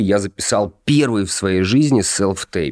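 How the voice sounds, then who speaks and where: A plain, everyday voice from a man, fairly low in pitch and fairly slow, with lively intonation, in a dry, close sound with no echo and a very clean recording with a silent background. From Russia, Kostroma. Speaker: actor. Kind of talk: casual chat.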